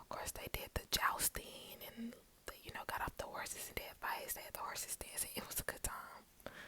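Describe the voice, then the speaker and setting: A woman whispers. Her pace is moderate. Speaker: ASMR creator. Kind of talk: ASMR whisper ramble. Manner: whispered.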